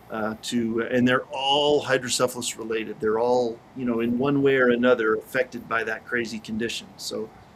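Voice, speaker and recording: Over noticeable background noise, a man talks in a flat monotone at a medium pitch and a moderate pace. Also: hardly any pauses. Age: 40s. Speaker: motivational speaker and author. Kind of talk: interview. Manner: hesitant fillers.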